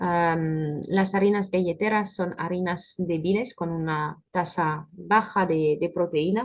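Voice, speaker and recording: A woman with a French accent and a fairly low pitch, at a very slow pace with fairly even intonation. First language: French (speaking Spanish). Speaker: food industry technical specialist. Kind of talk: webinar presentation with Q&A. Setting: online webinar. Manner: hesitant, frequent filler sounds.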